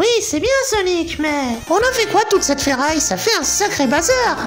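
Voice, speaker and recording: With clear music in the background, a man uses a put-on character voice at a moderate pace. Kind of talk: comedic parody dub.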